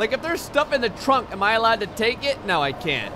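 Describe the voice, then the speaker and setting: The speaker has an American accent and a fairly quick pace. Noticeable background noise is present. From New Jersey. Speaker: gaming YouTuber. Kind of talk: gameplay commentary. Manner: casual, conversational.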